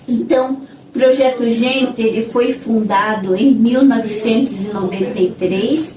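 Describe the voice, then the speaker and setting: A woman with a fairly high pitch and ordinary pitch variation speaks at a very slow pace, with noticeable background noise and audible room echo. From northern Paraná, Brazil. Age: 60s. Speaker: nun, social project leader. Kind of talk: interview. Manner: halting, with filler words.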